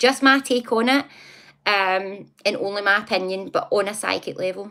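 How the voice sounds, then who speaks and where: A woman speaks with a Scottish accent. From Scotland, near Glasgow. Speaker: psychic live streamer. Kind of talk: casual live stream chat. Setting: live stream. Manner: fast, especially when excited.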